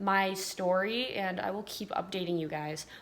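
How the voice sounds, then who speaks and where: With an American accent, a woman speaks in a normal speaking voice at medium pitch with ordinary pitch variation. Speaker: vlogger. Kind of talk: casual chat.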